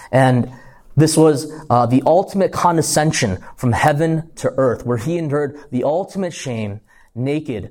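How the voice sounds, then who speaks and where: In a very clean recording with a silent background, a man with an American accent and a plain, everyday voice speaks at a fairly slow pace, his fairly high pitch showing ordinary variation. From US, Korean American. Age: 20s. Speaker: youth pastor / Bible teacher. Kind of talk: sermon to students. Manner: casual, conversational.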